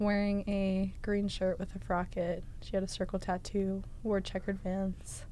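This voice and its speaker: A woman speaks at a fairly slow pace with an American accent, a medium pitch and hardly any pauses. Her tone is dark and mellow, her intonation monotone and flat, and the room echo is audible. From Massachusetts. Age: 20s. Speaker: student storyteller. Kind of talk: interview storytelling.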